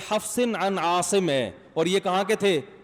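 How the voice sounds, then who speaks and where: Here is a man talking. His intonation stays fairly even. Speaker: Islamic scholar, preacher. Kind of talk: Friday sermon. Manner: conversational, questions the audience.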